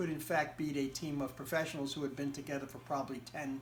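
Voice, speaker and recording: This man talks in an American accent, and audible room echo surrounds his voice. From United States. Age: 60s. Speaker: interviewee. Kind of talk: interview. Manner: halting.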